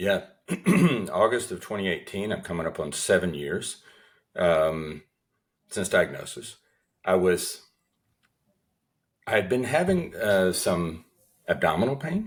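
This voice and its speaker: Speaking with a Southern US accent, a man goes at a fairly slow pace. Long, frequent pauses break up his speech. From US Southeast. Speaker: cancer survivor and author. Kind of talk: interview. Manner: hesitant with fillers.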